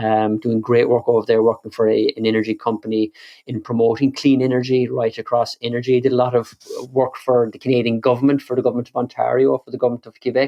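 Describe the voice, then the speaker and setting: A very fast, flat, monotone delivery in a Kerry accent. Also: man, medium pitch for a man, big swings in loudness. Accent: Kerry Irish. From Ireland, County Kerry. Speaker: energy and climate researcher. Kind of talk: podcast interview. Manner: frequent repetitions and fillers.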